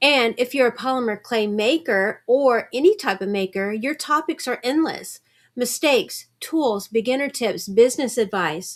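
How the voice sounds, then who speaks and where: Recorded very cleanly against a silent background, a woman with a high, warm voice speaks at a moderate pace with lively intonation and hardly any pauses. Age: 60s. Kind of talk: tutorial. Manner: warm, encouraging.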